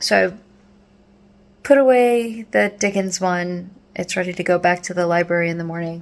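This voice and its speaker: Using ordinary pitch variation and a moderate pace, a woman with an American accent and fairly low pitch leaves long, frequent pauses. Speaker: vlogger. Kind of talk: casual vlog chat. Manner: sleepy, yawning.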